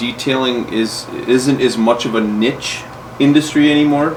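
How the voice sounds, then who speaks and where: Amid noticeable background noise, a man with a medium-pitched voice speaks at a fairly slow pace with ordinary pitch variation. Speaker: metal polisher and podcast host. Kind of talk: interview / podcast conversation. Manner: casual, conversational.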